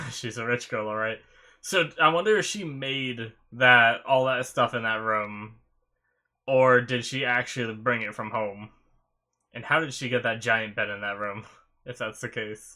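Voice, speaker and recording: A man's bright, sharp voice at a fairly slow pace, with ordinary pitch variation, long, frequent pauses and a quiet background. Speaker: anime reaction video host. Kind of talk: casual vlog chat. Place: home room. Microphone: webcam.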